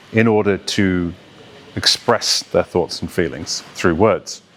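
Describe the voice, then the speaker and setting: This man talks at a very slow pace. Noticeable background noise runs behind him. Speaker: voice coach and actor. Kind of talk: educational talk to camera about accent and voice training.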